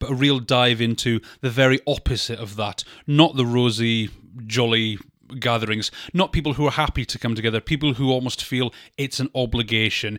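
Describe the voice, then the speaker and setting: A man with a British accent speaks at a fairly quick pace and a medium pitch, with fairly even intonation. The recording is very clean, with a silent background and a dry, close sound with no echo. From Britain. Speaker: film podcast co-host. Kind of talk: casual chat.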